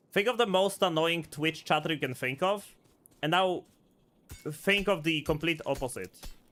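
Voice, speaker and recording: Over music in the background, a man with a non-native accent and a high pitch talks at a moderate pace with ordinary pitch variation and long, frequent pauses. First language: not English. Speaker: vtuber streamer. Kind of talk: live gameplay stream. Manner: animated.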